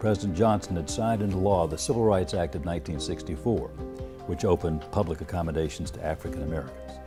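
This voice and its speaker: A man talking at a very fast pace with very wide pitch swings, music in the background. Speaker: TV news anchor. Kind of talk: interview answer. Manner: steady.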